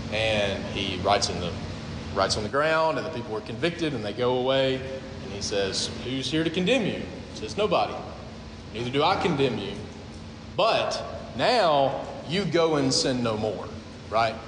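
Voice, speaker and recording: A man talks at a moderate pace and medium pitch, with very wide pitch swings and long, frequent pauses. Audible room echo and noticeable background noise surround his voice. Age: 30s. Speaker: pastor. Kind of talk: sermon. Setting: church.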